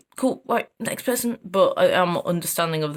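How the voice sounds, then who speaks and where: Someone speaks at a moderate pace in an East Midlands accent. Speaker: vlogger. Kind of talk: casual vlog. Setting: walking outdoors. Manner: loud, chatty.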